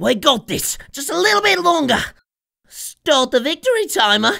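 A put-on character voice, high-pitched, with very wide pitch swings at a moderate pace. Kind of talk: video game character voice lines. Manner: manic, gleeful, cackling.

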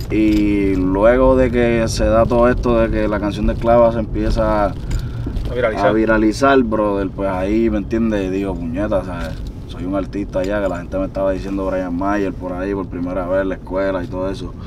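Noticeable background noise beneath moderately paced speech with ordinary pitch variation. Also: man, fairly low pitch for a man. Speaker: guest. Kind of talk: interview answer. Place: car. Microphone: camera far.

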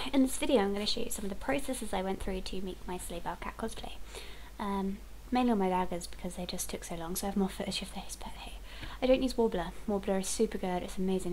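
Light background noise accompanies a woman speaking at a very fast pace. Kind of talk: casual vlog chat and tutorial. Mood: chatty, self-deprecating humor. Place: home room. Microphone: headset.

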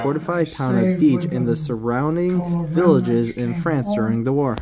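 Against noticeable background noise, a man with a fairly high pitch speaks at a moderate pace with ordinary pitch variation. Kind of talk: news narration.

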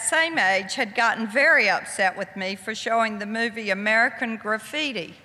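A woman's fairly high-pitched voice at a moderate pace. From US South. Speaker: author; guest. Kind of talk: lecture. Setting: stage with audience. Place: hall. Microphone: podium.

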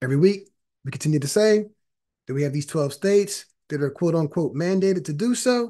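Over a quiet background, a man talks at a very fast pace in a fairly high pitch. His tone is dark and mellow, with ordinary pitch variation. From Philadelphia area, US. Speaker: panel discussion host. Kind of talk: panel discussion. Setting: video call. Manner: casual, uses filler like you know. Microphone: webcam.

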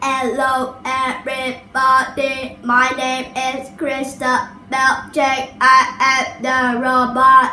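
In a high-pitched put-on character voice, a woman speaks very slowly and in a flat monotone, with hardly any pauses. There is a slight echo and light background noise. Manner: stiff, mechanical.

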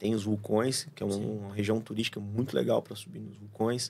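A man with a plain, everyday voice speaks at a fairly low pitch and a moderate pace, with fairly even intonation. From Paraná, Brazil (São José dos Pinhais); Paraná, Brazil. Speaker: surfer, traveller guest; podcast guest. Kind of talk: casual chat; casual interview conversation. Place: studio. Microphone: studio mic.

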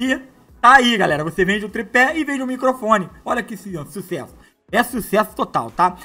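Over faint music in the background, a raised, projected voice moves at a moderate pace in an animated tone, with lively intonation and big swings in loudness. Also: man, high pitch for a man. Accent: Brazilian. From Brazil. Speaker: online money-making youtuber; online seller, youtuber. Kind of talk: product demo tutorial. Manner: casual and animated. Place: home room. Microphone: lapel.

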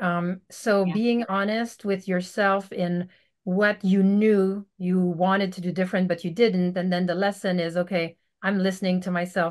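In a French Canadian accent, a woman speaks at a moderate pace and medium pitch with monotone, flat intonation against a quiet background. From Quebec, Canada. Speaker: veterinarian; podcast guest. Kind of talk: casual interview. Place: home room. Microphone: video call.

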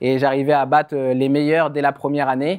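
Against a quiet background, a man speaks fairly slowly at a fairly high pitch. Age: 30s. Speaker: former judoka and speaker; speaker. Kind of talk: public talk. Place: stage.

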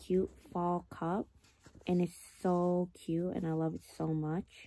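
The dry recording with no echo carries a woman's fairly low pitch and dark, mellow tone. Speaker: vlogger. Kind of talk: casual vlog chat. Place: home room. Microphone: phone near.

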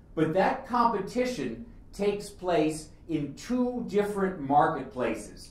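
A man speaks with lively intonation amid audible room echo. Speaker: speaker. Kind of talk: lecture. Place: hall.

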